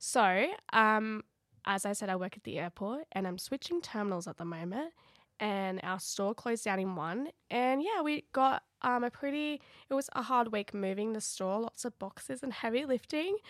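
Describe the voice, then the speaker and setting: With an Australian accent, a woman talks at a moderate pace in a fairly high voice with lively intonation, the sound dry and close with no echo. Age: 20s. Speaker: podcast co-host, makeup artist. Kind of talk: casual chat.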